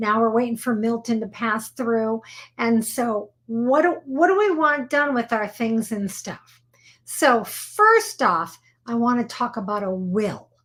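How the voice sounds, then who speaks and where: A woman with a fairly high pitch and ordinary pitch variation at a fairly slow pace, on a very clean recording with a silent background. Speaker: attorney. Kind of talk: live show explainer. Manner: casual, conversational.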